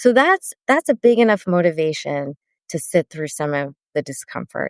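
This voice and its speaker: A woman with an American accent speaks at a moderate pace in a fairly low voice. Her pitch swings very widely, and the sound is dry and close with no echo. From Sri Lankan heritage, US. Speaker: therapist and author. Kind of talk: casual podcast interview.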